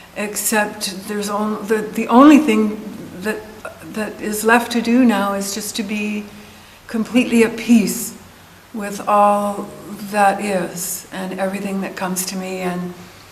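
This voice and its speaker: A woman speaks at a fairly slow pace in a medium pitch with monotone, flat intonation and big swings in loudness, with audible room echo and noticeable background noise. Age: 70s. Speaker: meditation group attendee. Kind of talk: testimony. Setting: community center group session.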